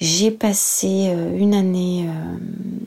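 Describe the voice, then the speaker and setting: A woman's voice at medium pitch. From France, Senlis (Oise). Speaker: TV news presenter. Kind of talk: interview.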